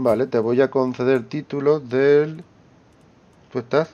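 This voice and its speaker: A man with a Spanish accent speaks very slowly in a dark, mellow tone with ordinary pitch variation. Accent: Peninsular Spanish. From Spain. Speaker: gaming youtuber. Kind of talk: let's play commentary. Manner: casual, thinking aloud.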